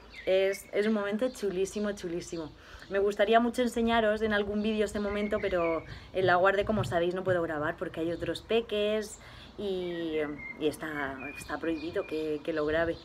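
The speaker talks at a moderate pace with ordinary pitch variation over light background noise. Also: woman. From Spain. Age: 20s. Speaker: YouTuber. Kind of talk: Q&A vlog, casual chat. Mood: cheerful, warm. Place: garden. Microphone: phone near.

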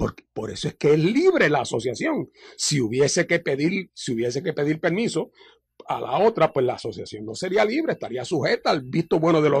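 The man speaks at a fairly quick pace. His intonation is lively. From Puerto Rico. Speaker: party leader and lawyer; radio interview guest, lawyer. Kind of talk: radio interview. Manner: halting with many fillers. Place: studio.

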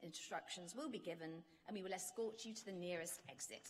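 Her intonation is lively. The woman speaks at a moderate pace. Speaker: ceremony announcer. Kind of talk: formal announcements. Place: hall. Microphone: podium.

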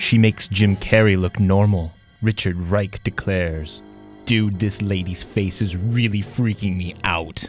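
Music plays in the background. Over it, a man with a very deep, low pitch keeps a fairly even intonation. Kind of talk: parody movie trailer narration.

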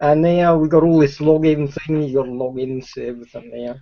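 Against a quiet background, a man speaks with an Australian accent. His pitch is fairly high, with ordinary variation. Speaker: streamer. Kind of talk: casual conversation, reminiscing. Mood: cheerful, animated storytelling. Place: home room. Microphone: video call.

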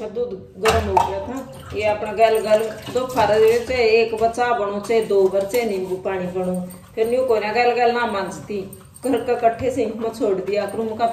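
A woman with a Haryana accent at a fairly slow pace, fairly even intonation, light background noise and audible room echo. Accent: Haryanvi. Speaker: family vlogger. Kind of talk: casual vlog narration. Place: kitchen. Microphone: phone near.

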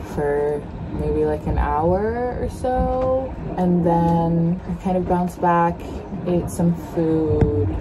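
Over noticeable background noise, a woman talks at a very slow pace. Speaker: sailing vlogger. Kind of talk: casual vlog chat. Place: boat. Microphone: phone near.

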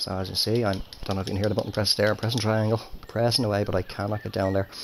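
With fairly even intonation, a man talks in an ordinary speaking voice pitched fairly low. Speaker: gaming YouTuber. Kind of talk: video game commentary. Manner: casual, chatty.

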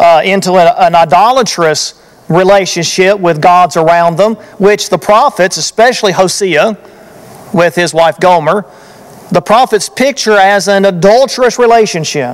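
A man's high-pitched voice with ordinary pitch variation. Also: moderate pace, very even loudness. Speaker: preacher. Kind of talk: sermon. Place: church. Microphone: podium.

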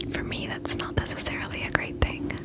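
Soft-spoken and whispering at a fairly quick pace, a woman is heard in a dry sound with no echo over loud background noise. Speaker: beauty vlogger. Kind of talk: casual makeup review chat. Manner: soft, close ASMR near-whisper. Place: home room. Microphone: phone near.

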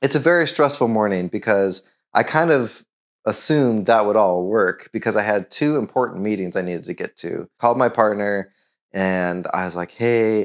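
Against a quiet background, the speaker talks at a moderate pace with lively intonation. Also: man, fairly low pitch for a man. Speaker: car owner vlogger. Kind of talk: casual vlog storytelling. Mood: wry, exasperated storytelling. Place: garage.

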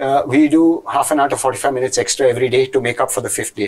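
A somewhat breathy man speaks at a very fast pace over a quiet background. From Goa, India; India. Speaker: IT entrepreneur; interview guest. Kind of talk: interview. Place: studio.

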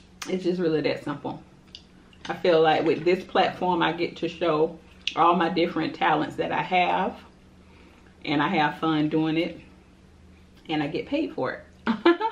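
With long, frequent pauses, a woman speaks at a moderate pace in a fairly low pitch with fairly even intonation. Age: 30s. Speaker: mukbang youtuber; mukbang vlogger. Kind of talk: casual chat while eating. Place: home room. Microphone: camera far.

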